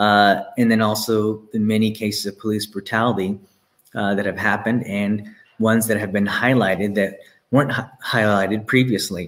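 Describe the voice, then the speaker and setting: A man speaks in a flat monotone at a moderate pace, his pitch fairly low, with an American accent. The recording is very clean, with a silent background. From Texas. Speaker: pastor. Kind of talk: sermon.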